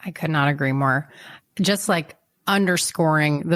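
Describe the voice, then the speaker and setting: On a very clean recording with a silent background, a woman with an American accent speaks at a moderate pace in a very deep, low voice. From Southern California. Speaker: podcast host. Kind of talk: podcast interview.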